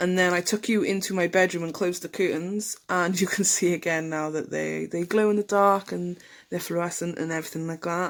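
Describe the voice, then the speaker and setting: Fairly quick and with hardly any pauses, a woman talks in an English accent at a fairly low pitch with monotone, flat intonation. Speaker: nail tutorial youtuber. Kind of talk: voice-over tutorial narration. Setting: home. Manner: casual, hesitant with many ums.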